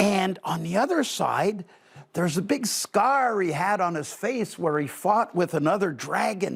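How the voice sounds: Intonation stays lively throughout this natural reading voice.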